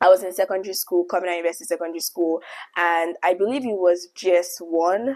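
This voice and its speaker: A woman talks at a fairly quick pace in a Nigerian accent. Her pitch sits fairly low. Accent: Nigerian, vibrant. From Nigeria, Lagos. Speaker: YouTuber. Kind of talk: storytelling monologue.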